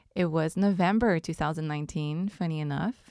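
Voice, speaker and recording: A woman speaks in a Quebec accent on a very clean recording with a silent background. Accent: French-Canadian accent in English. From Quebec, Montreal. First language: French. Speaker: podcast host. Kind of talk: casual monologue. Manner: relaxed, hesitant with many ums.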